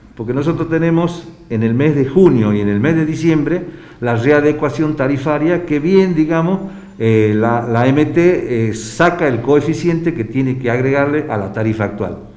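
A man with a fairly high voice talks at a moderate pace, and audible room echo follows his words. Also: ordinary pitch variation. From Argentina. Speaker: taxi drivers' union official. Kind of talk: news interview statement. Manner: halting, many fillers. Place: studio.

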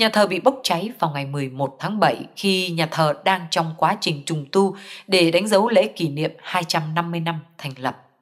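A woman with a fairly low pitch and ordinary pitch variation talks at a very slow pace with hardly any pauses, in a very clean recording with a silent background. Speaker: news reader. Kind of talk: news reading.

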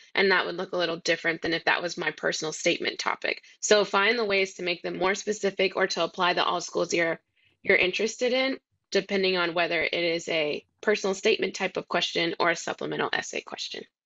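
A woman speaks at a very fast pace with medium pitch and fairly even intonation. The background is quiet. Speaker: college admissions officer; panelist. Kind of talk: educational webinar. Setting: video call. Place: home room. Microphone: video call.

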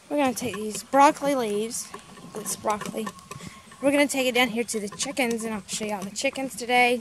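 A woman talks at a fairly quick pace with ordinary pitch variation. There is noticeable background noise, but the sound is dry with no echo. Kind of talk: casual vlog chat. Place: garden. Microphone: phone near.

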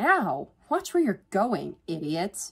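A woman does a put-on character voice at medium pitch, slow pace and with big pitch swings. Her fairly bright tone has vocal fry and a slightly husky edge.

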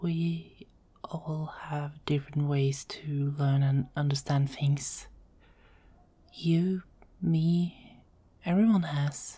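Soft-spoken and somewhat breathy, the voice has a dark, mellow tone and moves at a very slow pace with long, frequent pauses. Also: woman, very deep, low pitch for a woman. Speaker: ASMR roleplay voice artist. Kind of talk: ASMR girlfriend roleplay. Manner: soft-spoken, calming.

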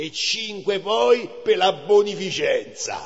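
A man in a Roman accent at a very slow pace, with noticeable background noise. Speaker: actor. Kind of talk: poetry reading.

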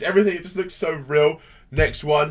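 The setting is quiet. A man talks at a medium tempo. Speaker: reaction video host. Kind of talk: casual commentary. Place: home room. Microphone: headset.

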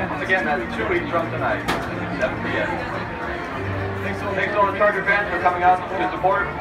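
A man speaks over loud music in the background. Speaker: public address announcer. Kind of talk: stadium public address closing announcement. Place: stadium. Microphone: pa.

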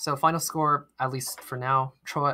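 A man is speaking. His tone is bright and sharp. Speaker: quiz bowl moderator. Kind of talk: quiz bowl moderation, live online. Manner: hesitant, many fillers.

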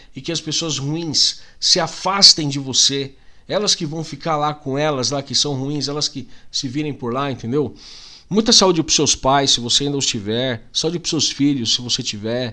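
Against a quiet background, a man speaks at a moderate pace in a fairly high pitch, with a bright, sharp tone and ordinary pitch variation. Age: 40s. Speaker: YouTuber. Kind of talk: casual vlog monologue. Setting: home. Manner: animated. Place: home room. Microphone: studio mic.

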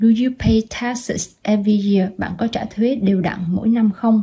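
Speaking at a fairly slow pace, a woman has a fairly high pitch with ordinary pitch variation. Her tone is dark and mellow and somewhat breathy. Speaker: language teacher. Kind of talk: instructional lesson narration.

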